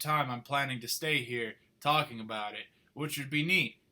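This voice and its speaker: A bright, sharp tone in an American accent. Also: man. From Minnesota, US Midwest. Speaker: vlogger. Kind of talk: casual vlog monologue. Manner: stutters, repeats words, verbal fillers; digressive, conversational.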